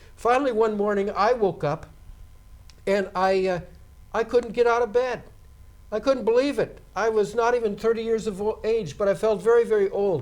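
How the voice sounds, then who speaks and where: Pausing long and often, a man speaks at a moderate pace with a high pitch and fairly even intonation. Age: 60s. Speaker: seminary lecturer, pastor. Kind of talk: lecture.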